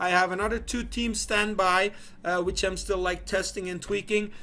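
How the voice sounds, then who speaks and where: The speaker is a man with a Belgian accent. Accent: non-native English, Belgian. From Belgium. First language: not English. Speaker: online business founder. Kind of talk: business video monologue. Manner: halting, many fillers and repeats.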